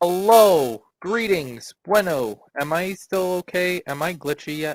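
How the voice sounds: A robotic put-on character voice at a middle pitch, delivered at a fairly slow pace.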